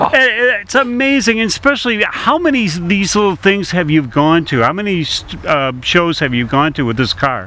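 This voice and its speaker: A man talks in an upbeat tone at a moderate pace. His pitch is high for a man and swings very widely. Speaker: radio host. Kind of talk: casual radio interview. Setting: radio show at a car show. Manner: upbeat, jovial.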